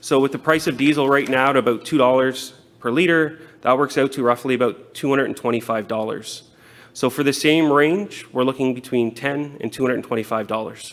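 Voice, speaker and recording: A man with a Canadian accent talks at a fairly quick pace in a plain, everyday voice, with medium pitch and fairly even intonation. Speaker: city transit manager. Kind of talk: conference presentation.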